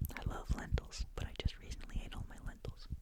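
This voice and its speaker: A man whispering over noticeable background noise. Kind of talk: ASMR whispered-style rambling talk to camera. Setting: close microphone, home recording.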